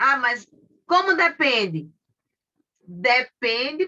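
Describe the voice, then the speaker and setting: A woman projects her voice in a raised way. Her pitch is high and her tone bright and sharp. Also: dry, close sound with no echo. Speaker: lawyer and course teacher. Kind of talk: online lecture.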